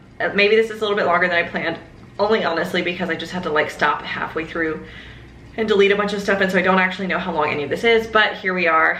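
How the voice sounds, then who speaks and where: The speech comes at a very fast pace, with noticeable background noise and audible room echo. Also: woman, medium pitch for a woman. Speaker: lifestyle vlogger. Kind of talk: casual vlog update. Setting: home office. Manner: animated, lots of filler.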